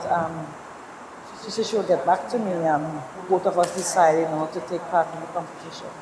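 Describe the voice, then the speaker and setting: A woman with a Trinidadian accent talks at a fairly quick pace, her pitch fairly low. Her intonation stays fairly even over noticeable background noise. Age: 50s. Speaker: geriatric nurse, pageant contestant. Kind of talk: interview.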